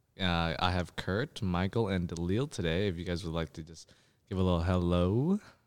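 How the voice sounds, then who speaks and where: At a moderate pace, a man speaks in a very deep, low pitch on a very clean recording with a silent background. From British Columbia, Canada. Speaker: student podcast host. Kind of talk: casual chat. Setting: studio.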